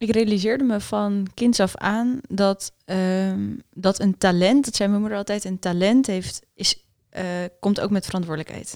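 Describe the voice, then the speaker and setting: Slow-ish and medium-pitched, a woman speaks with fairly even intonation in an unremarkable speaking voice. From Netherlands. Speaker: doctor and entrepreneur. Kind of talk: interview.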